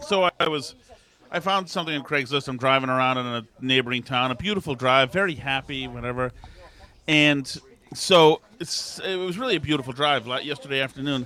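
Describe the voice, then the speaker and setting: A man speaks in a normal speaking voice, pitched fairly high. His pace is fairly quick, with ordinary pitch variation. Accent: American. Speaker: podcast co-host. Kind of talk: casual chat.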